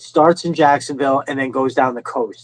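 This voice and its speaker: Recorded dry and close with no echo, a man speaks at a moderate pace with a New York accent. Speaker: live stream host, toy collector. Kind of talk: casual chat. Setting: live stream. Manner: animated, casual storytelling.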